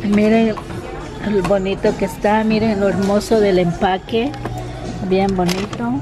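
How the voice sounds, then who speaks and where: Over clear music in the background, a woman talks at a fairly slow pace and medium pitch with ordinary pitch variation and a dry sound with no echo. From Ecuador. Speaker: vlogger. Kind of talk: casual talk to camera. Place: shop. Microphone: phone near.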